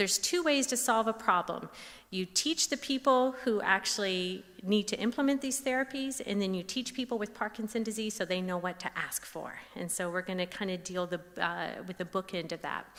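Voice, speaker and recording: A fairly high-pitched woman in an American accent, lively intonation, moderate pace and hardly any pauses. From US South, Tennessee. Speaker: speech pathologist. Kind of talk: lecture.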